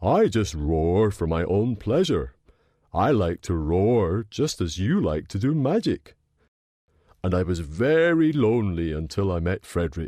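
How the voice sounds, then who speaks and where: Putting on a character voice, a man speaks at a moderate pace in a very deep, low pitch. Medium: read story.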